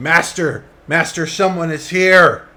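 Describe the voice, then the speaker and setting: A put-on character voice moves at a fairly slow pace with a monotone, flat intonation. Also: man, high pitch for a man. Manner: alarmed, calling out urgently.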